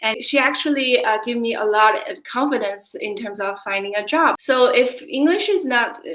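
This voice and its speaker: A high-pitched woman's voice with lively intonation, a moderate pace and hardly any pauses, against noticeable background noise. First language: not English. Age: young. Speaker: job-coaching client. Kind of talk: interview testimonial.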